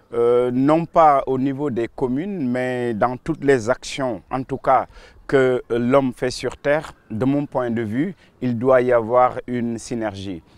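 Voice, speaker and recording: Speaking at a very slow pace, a man shows ordinary pitch variation in a dry sound with no echo. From Senegal, Saint-Louis; Senegal. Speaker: local politician. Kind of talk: interview. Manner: hesitant, with fillers and repetitions. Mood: calm, pleased. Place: garden.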